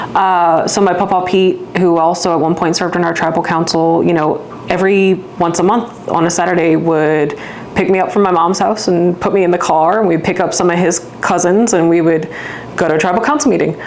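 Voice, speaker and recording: Her loudness very even and her intonation fairly even, a woman talks at a fairly quick pace amid noticeable background noise and audible room echo. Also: fairly low pitch for a woman. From Louisiana, St. Bernard Parish. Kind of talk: interview.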